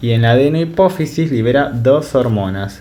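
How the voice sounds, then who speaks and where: A man speaks at a medium pitch with ordinary pitch variation, and the room echo is audible. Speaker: medical tutor. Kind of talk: lecture. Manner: fast.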